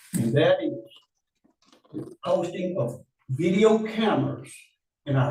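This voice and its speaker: Audible room echo surrounds a voice with a dark, mellow tone. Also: man. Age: 70s. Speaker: public commenter at county meeting, retired teacher. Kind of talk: public comment. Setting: public meeting. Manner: impassioned.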